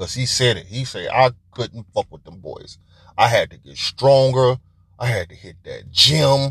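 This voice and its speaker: An animated man's voice at a fairly slow pace, medium in pitch with vocal fry, ordinary pitch variation and big swings in loudness. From Detroit, US Midwest. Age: 40s. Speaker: podcast host. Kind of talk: casual monologue.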